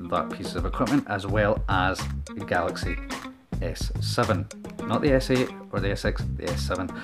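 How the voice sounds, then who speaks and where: A man with a Scottish accent at a moderate pace, clear music in the background. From Scotland. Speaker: vlogger. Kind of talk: casual talk to camera. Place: home room. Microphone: handheld.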